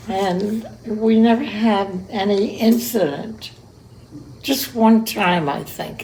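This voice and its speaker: Noticeable background noise behind a woman's fairly high voice, very slow in pace, with ordinary pitch variation. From Cuba. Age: 80s+. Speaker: centenarian interviewee. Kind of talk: casual interview. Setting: her apartment.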